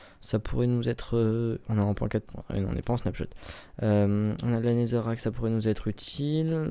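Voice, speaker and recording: The voice has a dark, mellow tone and ordinary pitch variation at a moderate pace. The recording is very clean with a silent background. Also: man. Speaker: gaming youtuber. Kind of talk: gameplay commentary. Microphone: close to the mic.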